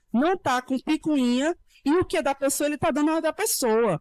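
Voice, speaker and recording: Lively intonation from a woman, set in a very clean recording with a silent background. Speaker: lawyer. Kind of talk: panel talk. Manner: fast; animated.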